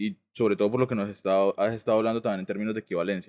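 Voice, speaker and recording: Dry, close sound with no echo around a man's voice of medium pitch. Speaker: podcast co-host, architect. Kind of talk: casual chat.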